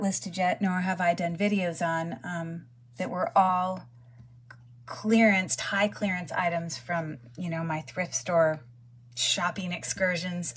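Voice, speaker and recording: Slightly breathy, a woman talks fairly slowly in a fairly low pitch with fairly even intonation. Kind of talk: casual haul vlog chat.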